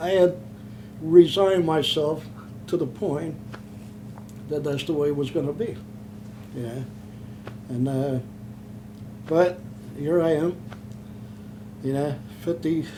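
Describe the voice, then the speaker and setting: A man with a Philadelphia accent speaks fairly slowly at a fairly high pitch, leaving long, frequent pauses. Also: ordinary pitch variation. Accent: Philadelphia-area American. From Pennsylvania, Chester. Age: 70s. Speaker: war veteran. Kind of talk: oral history interview. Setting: in person, Philadelphia. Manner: halting.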